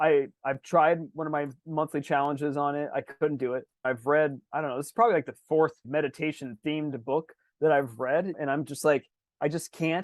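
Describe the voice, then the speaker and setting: A man speaks in an energetic tone with a fairly high pitch. The background is quiet. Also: dry, close sound with no echo. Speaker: podcast co-host. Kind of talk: casual chat. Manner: fast.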